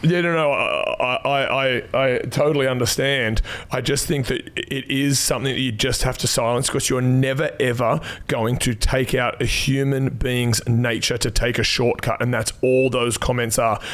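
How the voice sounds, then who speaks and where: A man with an Australian accent speaks at a moderate pace and medium pitch, with hardly any pauses. His loudness stays very even against noticeable background noise. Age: 40s. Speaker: personal trainer, podcast host. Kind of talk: casual chat. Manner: animated.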